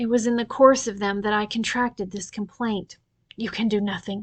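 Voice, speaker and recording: A woman uses a croaky, put-on character voice at a fairly high pitch and a moderate pace. Her intonation stays monotone and flat. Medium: read story. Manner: imperious, sharp.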